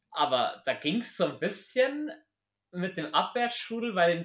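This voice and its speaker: His pitch swings very widely. The man's tone is animated. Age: 20s. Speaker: podcast host. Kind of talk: casual chat.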